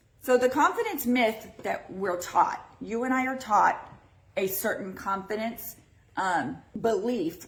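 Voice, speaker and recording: Speaking at a fairly slow pace, a woman with a fairly high pitch uses ordinary pitch variation, with audible room echo and noticeable background noise. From Texas. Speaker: podcast host. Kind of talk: live-streamed casual podcast talk. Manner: loud; animated.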